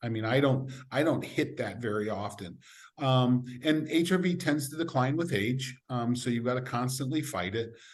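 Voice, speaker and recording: Medium pitch from a man, with audible room echo. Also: ordinary pitch variation, moderate pace. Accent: American. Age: 60s. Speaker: sport scientist. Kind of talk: podcast interview.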